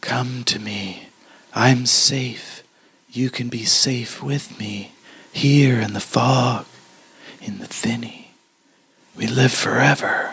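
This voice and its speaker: A man puts on a raspy character voice at a medium pitch. He speaks at a very slow pace, with long, frequent pauses. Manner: creepy, luring.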